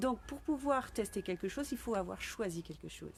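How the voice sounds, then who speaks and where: A woman at a moderate pace. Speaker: business coach. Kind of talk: live stream talk. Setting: live video stream.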